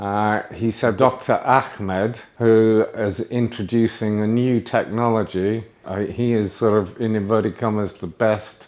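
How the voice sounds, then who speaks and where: Here a man speaks in a British accent at a fairly low pitch. His intonation stays fairly even. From UK. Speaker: patient. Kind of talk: testimony. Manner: halting, with fillers.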